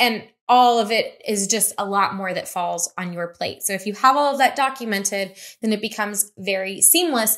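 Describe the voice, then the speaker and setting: A woman speaks at a moderate pace with medium pitch and ordinary pitch variation, an unremarkable speaking voice. The recording is very clean with a silent background. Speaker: business marketing youtuber. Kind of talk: tutorial.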